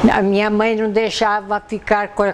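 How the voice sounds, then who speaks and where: There is noticeable background noise. A woman talks at a fairly slow pace. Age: 80s+. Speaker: local resident sharing memories. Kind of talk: documentary interview.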